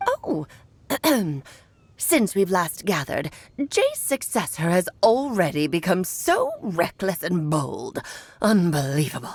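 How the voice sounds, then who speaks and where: A female-sounding put-on character voice sits at a medium pitch. It moves at a fairly slow pace with long, frequent pauses. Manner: haughty, scolding.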